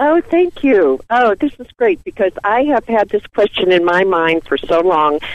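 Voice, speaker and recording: A woman talks at a fairly slow pace with hardly any pauses. Her pitch swings very widely. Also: medium pitch for a woman. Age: 60s. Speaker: caller. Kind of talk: call-in question. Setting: phone call.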